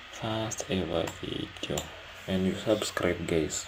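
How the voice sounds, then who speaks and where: Over noticeable background noise, a man speaks at a fairly slow pace in a very deep, low pitch. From Kenya. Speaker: day trader streaming his trades. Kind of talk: casual live commentary. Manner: halting, repeats words.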